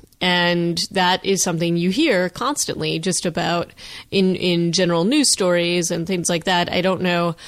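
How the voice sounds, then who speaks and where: A plain, everyday voice from a woman, fairly low in pitch, at a moderate pace with fairly even intonation, on a very clean recording with a silent background. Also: very even loudness. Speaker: podcast co-host. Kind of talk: casual chat.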